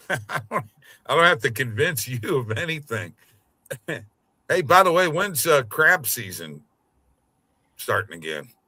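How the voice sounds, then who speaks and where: Speaking at a moderate pace, a man with a fairly high pitch makes very wide pitch swings in a bright, sharp tone with vocal fry. He leaves long, frequent pauses. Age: 60s. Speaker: sports betting podcast host. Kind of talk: casual chat.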